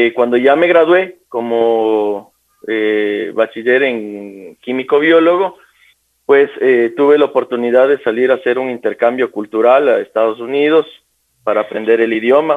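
A man's unremarkable speaking voice, medium in pitch, fairly slow, with ordinary pitch variation. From Ecuador, Quito. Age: 20s. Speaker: police lieutenant. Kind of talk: radio interview.

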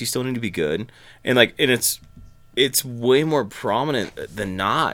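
In an ordinary speaking voice, a man at medium pitch talks with lively intonation. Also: very clean recording, silent background. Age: 20s. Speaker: musician and producer. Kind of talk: casual chat.

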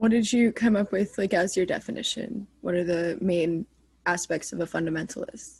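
A somewhat breathy woman's voice at medium pitch and moderate pace, with ordinary pitch variation. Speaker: student podcast host. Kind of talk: interview.

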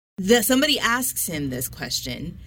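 Her pitch swings very widely as this woman speaks at a moderate pace with vocal fry. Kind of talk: casual chat. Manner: opinionated.

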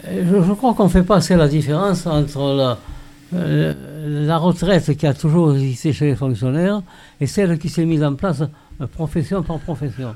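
A man with a fairly high pitch and a dark, mellow tone talks at a fairly slow pace, with ordinary pitch variation and long, frequent pauses. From Saint-Gilles, southern France. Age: 90s. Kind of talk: casual group discussion.

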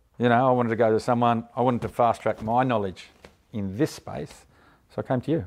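A medium-pitched man with an Australian accent, talking very fast with ordinary pitch variation. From Australia, Canberra. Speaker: buyer's agent and property investor. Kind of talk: interview.

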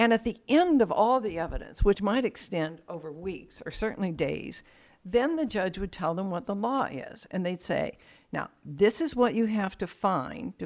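A woman with an ordinary speaking voice, medium pitch and lively intonation at a moderate pace, on a very clean recording with a silent background. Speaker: judge. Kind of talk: casual conversation, interview.

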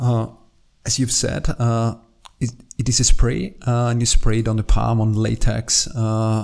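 Speaking at a fairly slow pace in an Austrian accent, a man uses a medium pitch with ordinary pitch variation. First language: German. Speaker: podcast host and company CEO. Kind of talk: interview. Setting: in person at company headquarters. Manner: halting, many filler sounds.

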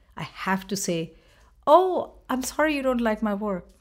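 Speaking at a fairly slow pace with a Bengali accent, a woman comes through on a very clean recording with a silent background. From India, Bengal. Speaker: choreographer and dance professor. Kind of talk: interview.

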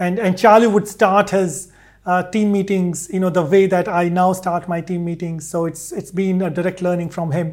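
The recording is very clean, with a silent background. Speech comes at a moderate pace with monotone, flat intonation. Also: man, high pitch for a man. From India, Delhi. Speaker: technology executive. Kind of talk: interview.

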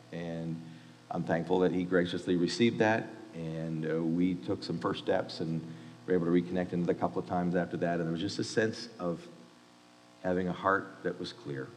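With music playing in the background and audible room echo, a man with a very deep, low voice speaks at a moderate pace and with fairly even intonation. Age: 50s. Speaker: university chapel speaker, pastor. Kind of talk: sermon.

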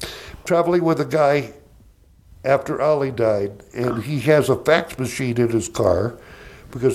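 With a Southern US accent, a man talks at a moderate pace and medium pitch with ordinary pitch variation. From US South, Georgia. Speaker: comedian. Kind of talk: casual chat.

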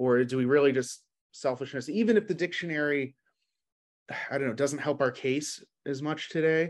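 A man speaks at a moderate pace with an American accent. His pitch varies in an ordinary way, and he leaves long, frequent pauses. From New York City. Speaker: business owner. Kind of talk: casual chat.

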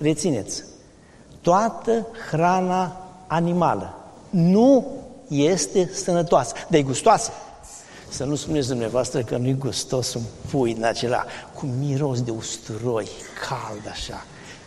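Long, frequent pauses break up a man's fairly high-pitched speech, which has very wide pitch swings, over noticeable background noise and audible room echo. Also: fairly slow pace. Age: 60s. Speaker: medical doctor, vegetarian diet advocate. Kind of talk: interview in a sermon series.

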